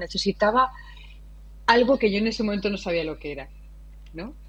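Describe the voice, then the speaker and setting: Somewhat breathy speech comes from a woman. Her pitch lies in the medium range. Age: 40s. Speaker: designer and education entrepreneur. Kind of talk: interview.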